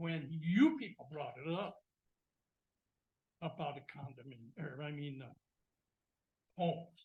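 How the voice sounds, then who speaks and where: An American-accented man with a fairly high pitch and ordinary pitch variation speaks somewhat breathily at a fairly slow pace, with long, frequent pauses and big swings in loudness. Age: 80s+. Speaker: zoning board member. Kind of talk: public meeting remarks. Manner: casual, folksy.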